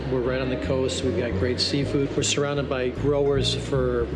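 Clear music plays in the background as a man talks at a fairly quick pace with ordinary pitch variation. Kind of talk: interview answer. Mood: friendly, proud. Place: cafe.

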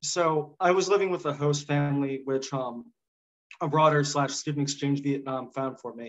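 A man with an American accent and an ordinary speaking voice talks at a moderate pace and a fairly high pitch, with fairly even intonation over a quiet background. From US South. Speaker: former intern. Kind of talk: panel interview. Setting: video call. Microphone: webcam.

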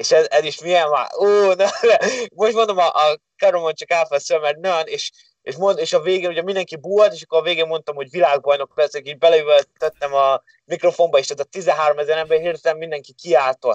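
High-pitched for a man, this voice has fairly even intonation, a dry sound with no echo and a quiet background. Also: fairly quick pace. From Hungary. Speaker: MMA fighter; guest. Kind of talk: casual chat. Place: home room. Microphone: video call.

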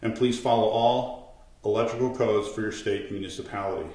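A somewhat breathy male voice with fairly even intonation and a moderate pace, plus audible room echo. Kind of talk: tutorial. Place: kitchen.

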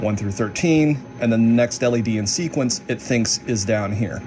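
A man talks at a moderate pace with noticeable background noise around him. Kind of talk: tutorial. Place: workshop. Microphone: phone near.

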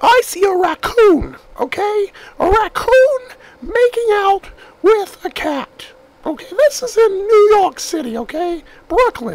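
Extremely high pitch at a fairly slow pace. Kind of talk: comic overacting. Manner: rambling, insistent, conspiratorial, repeats himself.

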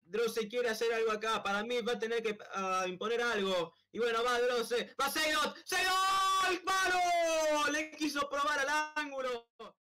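A man with an extremely high pitch uses a raised, projected voice at a fairly slow pace, with lively intonation, very even loudness and hardly any pauses. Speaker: streamer and live commentator. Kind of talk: live sports commentary over a Roblox soccer match. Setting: online game stream. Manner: breathless, drawn-out goal calls with bursts of disbelief.

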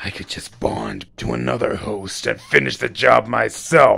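Using a raspy put-on character voice, a man talks at a moderate pace. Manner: menacing, taunting.

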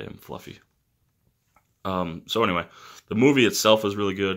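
A man speaks at a moderate pace with vocal fry, a fairly low pitch and very wide pitch swings, over a quiet background. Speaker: YouTube reviewer. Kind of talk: product unboxing and review, casual. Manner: casual, filler words, conversational. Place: home room.

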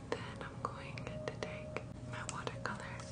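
The pace is very slow. The speaker is female. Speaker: ASMR creator. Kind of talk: ASMR role play. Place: home room. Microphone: earbuds.

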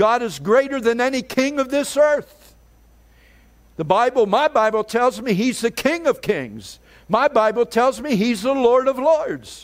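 Over a quiet background, a man with an extremely high pitch talks at a fairly slow pace with ordinary pitch variation. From Pennsylvania, US. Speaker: pastor. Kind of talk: fiery Pentecostal revival sermon, declaring God's unchanging power. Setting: church service with congregation. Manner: rousing, emphatic, repetitive preaching cadence; stammers on restarts when fired up. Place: church.

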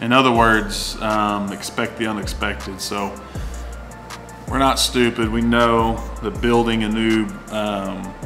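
Music plays clearly behind a man as he talks. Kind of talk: casual vlog chat. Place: bar.

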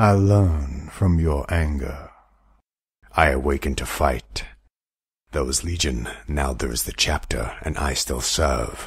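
Using a put-on character voice, a man speaks very deep and low in pitch. His pace is fairly slow and his pitch varies in an ordinary way. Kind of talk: character demo.

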